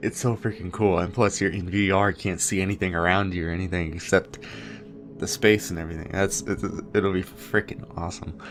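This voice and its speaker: Music plays in the background as a man talks. His very deep, low voice moves at a fairly quick pace. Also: ordinary pitch variation. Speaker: gaming youtuber. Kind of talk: gameplay commentary. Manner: rambling with many fillers.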